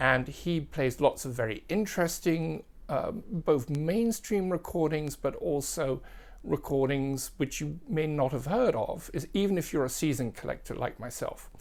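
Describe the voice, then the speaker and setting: The speaker uses an English accent at a moderate pace on a very clean recording with a silent background. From England. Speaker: record collector and music video presenter. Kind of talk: casual tutorial.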